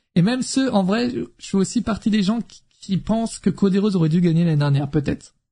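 This man talks at a fairly quick pace with lively intonation, a high pitch and a dark, mellow tone. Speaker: wrestling streamer. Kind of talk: casual live stream chat. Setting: live stream with chat. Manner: animated.

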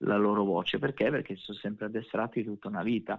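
A man's voice with monotone, flat intonation. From Sardinia, province of Nuoro. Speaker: navy veteran and competitive skydiver. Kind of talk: interview.

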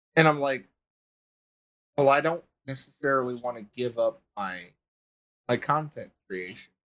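A man's medium-pitched voice at a moderate pace, with ordinary pitch variation, big swings in loudness, and long, frequent pauses. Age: 20s. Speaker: army veteran and content creator. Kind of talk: casual chat. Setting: live stream.

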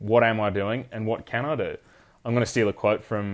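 Someone speaks at a fairly quick pace in an Australian accent over a quiet background. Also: man. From South Australia, Fleurieu Peninsula. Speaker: head stockman. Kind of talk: interview. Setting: in person.

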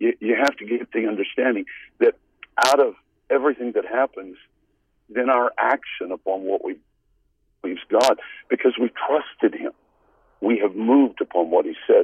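Moderately paced male speech broken by long, frequent pauses. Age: 60s. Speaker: evangelist and author. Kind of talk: interview about his book. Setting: phone call.

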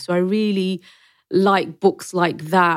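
In a London accent, a woman speaks at a medium pitch and a very slow pace. The recording is very clean, with a silent background. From London, Wembley (Brent). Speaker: historian and PR professional. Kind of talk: interview conversation. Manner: animated.

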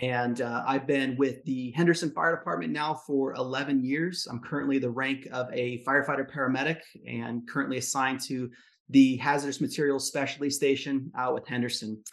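With a normal speaking voice, a man talks at medium pitch and a moderate pace with fairly even intonation. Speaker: fire service medic and coach. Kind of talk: coaching session, casual conversation.

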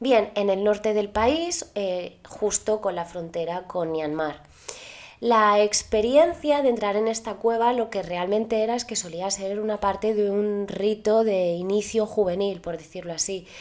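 A woman's fairly slow speech with a Spanish accent, at medium pitch with ordinary pitch variation. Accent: Peninsular Spanish. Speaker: podcast host. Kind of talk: storytelling narration. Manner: casual, chatty.

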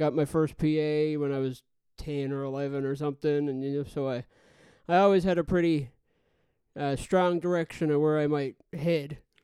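Monotone, flat intonation from a man with a Newfoundland accent, dark and mellow in tone, against a quiet background. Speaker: audio engineer. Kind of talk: casual chat.

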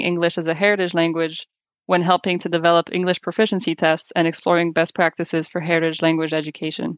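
A woman with a French accent speaks very fast at a fairly low pitch, her intonation fairly even and the sound dry and close with no echo. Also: quiet background. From France. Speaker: podcast co-host, test developer. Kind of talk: scripted narration. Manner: formal.

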